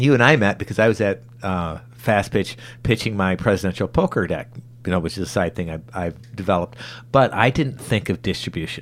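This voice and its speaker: At a fairly quick pace, a man speaks in an unremarkable speaking voice with a fairly low pitch and ordinary pitch variation. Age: 40s. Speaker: podcast host. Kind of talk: interview.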